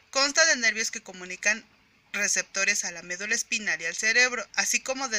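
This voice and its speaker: Amid noticeable background noise, a woman talks at a moderate pace with ordinary pitch variation. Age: 20s. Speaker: psychology graduate. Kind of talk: educational presentation. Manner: formal.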